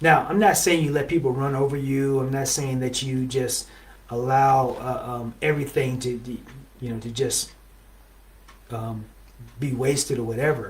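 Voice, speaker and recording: Amid audible room echo, a man speaks at a moderate pace and medium pitch with fairly even intonation and long, frequent pauses. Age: 60s. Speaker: relationship show host. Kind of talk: motivational talk. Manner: conversational, with many fillers.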